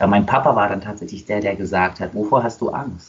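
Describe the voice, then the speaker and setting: Noticeable background noise sits behind this recording. A man speaks very fast at a fairly low pitch. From Germany, Nuremberg. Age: 20s. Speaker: dancer and dance school owner. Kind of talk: casual interview.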